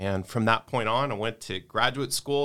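In an American accent, a man talks in an unremarkable speaking voice at a medium pitch with ordinary pitch variation, captured in a very clean recording with a silent background. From US South (Houston, Texas). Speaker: pastor. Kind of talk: interview conversation. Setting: studio.

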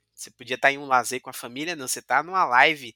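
Fairly even intonation from a man, dry and close with no echo, music playing in the background. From Bahia, Brazil (Cachoeira, Recôncavo Baiano). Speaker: blockchain validator pool co-owner and developer. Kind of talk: casual interview. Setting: studio.

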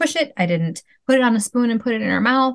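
A woman speaks with a Wisconsin accent. Her intonation is lively. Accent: Wisconsin Midwestern. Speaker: mom and former teacher. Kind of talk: casual interview.

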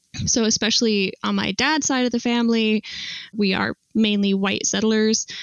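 A woman with an American accent speaks at a moderate pace in a fairly high pitch, her loudness very even, in an unremarkable speaking voice. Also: fairly even intonation. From Utah, US (Salt Lake City). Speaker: archaeology PhD student. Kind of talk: casual interview.

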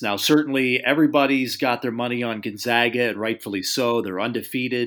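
Speaking at a fairly quick pace, the man has an ordinary speaking voice. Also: very clean recording, silent background. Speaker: college basketball guest analyst. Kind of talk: casual chat.

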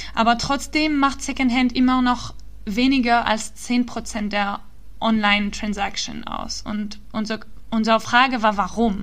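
A woman speaks at a fairly slow pace with a non-native accent, a fairly high pitch and fairly even intonation, with audible room echo. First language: not German (speaking German). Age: 20s. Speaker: startup founder and climate activist. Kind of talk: interview. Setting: remote call. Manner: halting, many fillers.

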